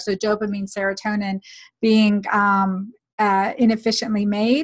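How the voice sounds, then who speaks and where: This woman's voice is somewhat breathy. Her intonation stays monotone and flat. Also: quiet background. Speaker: physician and podcast host; podcast host. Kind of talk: interview. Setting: video recording. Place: home room. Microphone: webcam.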